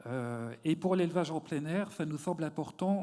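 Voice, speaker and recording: A man's dark, mellow voice sits at a fairly high pitch and moves at a moderate pace. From eastern France. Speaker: poultry sector representative. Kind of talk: round table discussion. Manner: halting.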